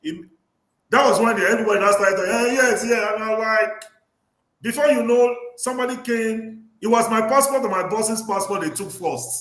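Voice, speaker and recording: A man's high voice at a moderate pace with ordinary pitch variation and audible room echo. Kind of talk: livestream discussion. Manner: animated.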